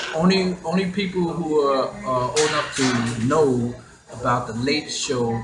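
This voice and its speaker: A man's medium-pitched voice with an American accent and lively intonation, plus music in the background and audible room echo. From Queens, New York City. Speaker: hip hop DJ pioneer. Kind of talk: interview storytelling. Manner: halting with many repetitions.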